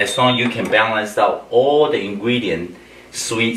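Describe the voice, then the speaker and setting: With audible room echo and noticeable background noise, a man talks at a fairly slow pace with ordinary pitch variation. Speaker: chef. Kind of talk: cooking tutorial. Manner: animated.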